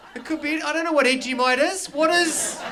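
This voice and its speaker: Noticeable background noise sits behind a man's raised, projected voice. His pitch is extremely high, with fairly even intonation. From New Zealand. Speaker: stand-up comedian. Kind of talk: live stand-up comedy performance.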